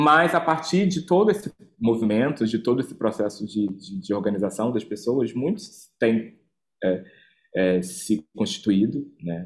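Pitched at a medium level, a man speaks at a fairly slow pace with very wide pitch swings. The recording is very clean, with a silent background. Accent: Rio. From Brazil, Rio de Janeiro. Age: 30s. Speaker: activist and cultural organizer. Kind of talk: interview. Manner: halting, many repetitions and fillers.

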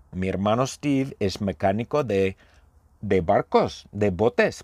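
Lively intonation marks this man's fairly low voice. The recording is very clean, with a silent background. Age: 50s. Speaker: Spanish teacher. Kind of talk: language lesson monologue. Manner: slow; repetitive.

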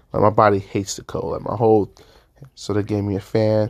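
A man with a fairly low pitch is heard on a very clean recording against a silent background. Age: 20s. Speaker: podcast host. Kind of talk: casual solo monologue. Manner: animated.

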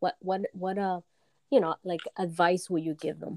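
With fairly even intonation, a woman with an unremarkable speaking voice talks at medium pitch in a dry, close sound with no echo. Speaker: podcast host. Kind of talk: interview.

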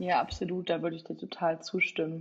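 A woman talks fairly quickly in a medium pitch with vocal fry. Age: 20s. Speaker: political science student. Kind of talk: casual interview.

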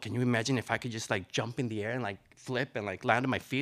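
Here a man talks at a very fast pace. His pitch is medium. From Nicaragua. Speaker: retired ballet dancer and dance teacher. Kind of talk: live storytelling.

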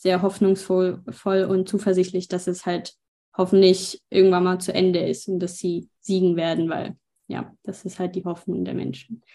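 Against a quiet background, a woman speaks fairly slowly at a medium pitch, her tone dark and mellow and her intonation monotone and flat. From Ukraine. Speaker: interpreter and aid volunteer. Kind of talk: interview with live interpreting.

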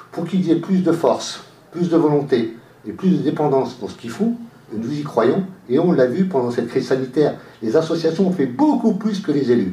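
With lively intonation, a man speaks at a moderate pace amid noticeable background noise and audible room echo. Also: fairly high pitch for a man. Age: 50s. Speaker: local election candidate. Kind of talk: radio interview. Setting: radio studio, live.

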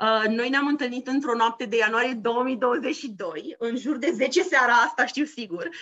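A woman speaks in a high pitch with ordinary variation in her tone. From Romania. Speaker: podcast co-host, former bank employee. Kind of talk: casual chat.

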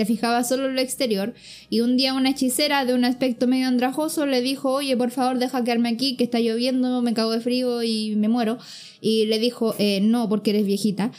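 High female voice in a Chilean accent with fairly even intonation. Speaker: podcast co-host. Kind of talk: casual chat.

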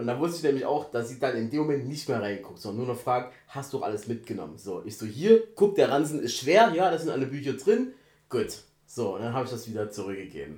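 A man at medium pitch, very fast and somewhat breathy, with lively intonation. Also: big swings in loudness. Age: 30s. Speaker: podcast co-host. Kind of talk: casual chat.

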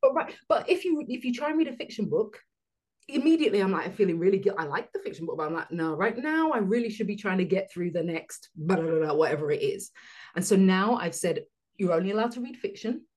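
A woman talks at a very fast pace with a medium pitch. Her voice is somewhat breathy and swings very widely in pitch. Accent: London. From London, England. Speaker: business coach. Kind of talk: casual interview chat.

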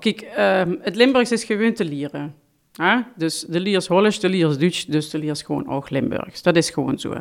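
A woman talks at a moderate pace in a normal speaking voice, fairly low in pitch, with lively intonation. The recording is very clean, with a silent background. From Limburg, Netherlands (Heerlen). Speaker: language teacher. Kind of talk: interview.

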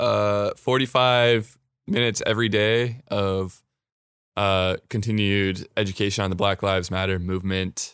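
In a very clean recording with a silent background, a man uses a normal speaking voice, fairly low in pitch, with fairly even intonation at a fairly slow pace. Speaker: podcast host. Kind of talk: casual chat.

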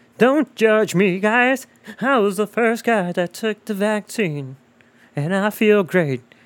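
Using a put-on character voice, a man speaks high in pitch at a fairly slow pace. The sound is dry and close, with no echo. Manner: defensive, upbeat.

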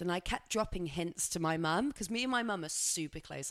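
On a very clean recording with a silent background, a woman with a West Country accent speaks at a fairly quick pace. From England, Somerset. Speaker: podcast co-host. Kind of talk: casual chat.

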